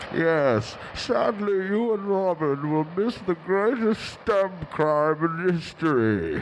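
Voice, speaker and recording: Over clear background noise, a man uses a put-on character voice, high in pitch, at a very slow pace. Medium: stage play. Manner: pompous, theatrical.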